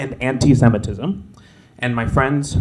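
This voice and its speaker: A man with a medium pitch and fairly even intonation is heard against noticeable background noise. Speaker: public commenter. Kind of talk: public comment speech. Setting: city commission meeting at lectern. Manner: halting.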